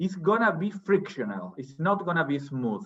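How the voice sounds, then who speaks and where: A man speaks in a Spanish accent at a moderate pace. His fairly high pitch swings very widely. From Argentina. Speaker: academic, journal editor. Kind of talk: academic seminar discussion. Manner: hesitant, repeats words.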